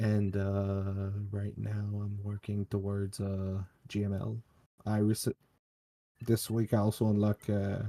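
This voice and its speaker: In a very clean recording with a silent background and a dry, close sound with no echo, a man speaks very slowly in a fairly low, dark, mellow voice with monotone, flat intonation. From Quebec, Canada. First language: French. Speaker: viewer getting account review. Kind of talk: casual chat. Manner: halting, hesitant English.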